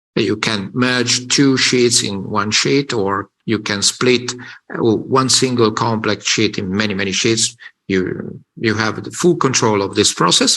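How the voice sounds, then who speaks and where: In a bright, sharp tone, a man with a medium-pitched voice talks at a fairly slow pace. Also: ordinary pitch variation. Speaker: software presenter. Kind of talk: software demo tutorial. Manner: hesitant, many fillers.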